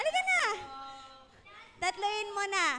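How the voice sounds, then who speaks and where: An animated, raised and projected woman's voice at an extremely high pitch, over noticeable background noise. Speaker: children's event host. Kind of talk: kids' event hosting. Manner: loud.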